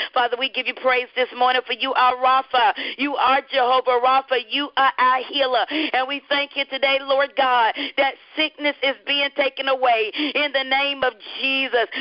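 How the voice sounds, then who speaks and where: A woman with a Southern US accent speaks at a high pitch and a moderate pace, her intonation monotone and flat. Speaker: radio host and evangelist. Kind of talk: radio devotional hosting. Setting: live radio broadcast.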